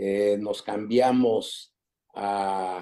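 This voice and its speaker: This man's tone is dark and mellow. He keeps his intonation fairly even. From Mexico City. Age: 80s+. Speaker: interviewee recounting family immigrant history. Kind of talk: interview conversation. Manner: halting, with frequent fillers and repetitions.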